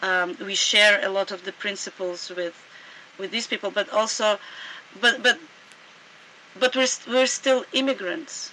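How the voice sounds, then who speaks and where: Someone with a Russian accent speaks at a moderate pace, leaving long, frequent pauses. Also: woman, medium pitch for a woman, ordinary pitch variation. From Sudan. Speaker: anarchist author and scholar. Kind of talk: interview conversation.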